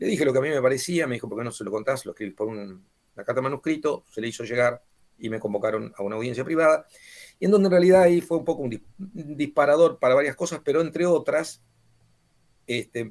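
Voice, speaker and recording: Speaking very fast in an Argentine accent, a man with a fairly high pitch swings widely in loudness. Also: lively intonation. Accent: Argentine Spanish (voseo). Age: 60s. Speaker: author and former mayor. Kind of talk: book presentation talk. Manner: halting, many fillers.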